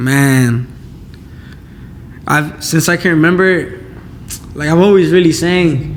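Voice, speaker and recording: This man speaks at a very slow pace, leaving long, frequent pauses. His fairly high voice shows ordinary pitch variation, with audible room echo around it. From Inglewood, California, US. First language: Spanish. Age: 18. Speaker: singer-songwriter. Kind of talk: casual interview.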